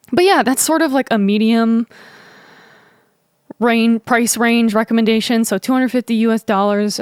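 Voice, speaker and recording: A woman talks at a fairly quick pace and fairly high pitch, in a dry, close sound with no echo. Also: very even loudness. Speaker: musician and YouTuber. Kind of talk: gear tutorial. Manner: casual, many fillers.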